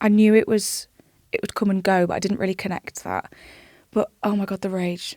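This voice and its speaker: With a British accent, a woman talks at a fairly quick pace in a dark, mellow tone and monotone, flat intonation, the sound dry and close with no echo. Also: medium pitch for a woman. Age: 20s. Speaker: charity founder. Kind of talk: interview. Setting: studio.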